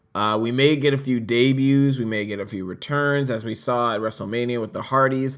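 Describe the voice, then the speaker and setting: A man speaks at a medium pitch and a moderate pace, with ordinary pitch variation, on a very clean recording with a silent background. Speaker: wrestling commentator. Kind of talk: casual chat. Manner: halting.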